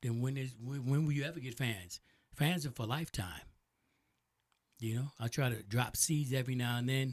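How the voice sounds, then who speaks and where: A somewhat breathy man at medium pitch, moving at a moderate pace with long, frequent pauses. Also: ordinary pitch variation. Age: 60s. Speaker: DJ and podcast host. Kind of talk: casual interview chat. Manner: halting with repeated words.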